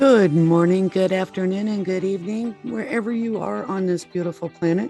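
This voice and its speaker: With music in the background, a woman of medium pitch talks at a moderate pace with ordinary pitch variation. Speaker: podcast host. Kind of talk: show intro.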